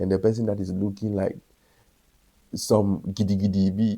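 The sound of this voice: A man speaks at a fairly low pitch with a dark, mellow tone. There is vocal fry and little pitch movement. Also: moderate pace.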